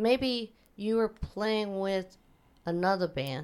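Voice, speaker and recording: This voice has a Midwestern American accent. The pace is very slow. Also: woman. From Wichita, Kansas. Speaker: podcast host. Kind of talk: casual interview.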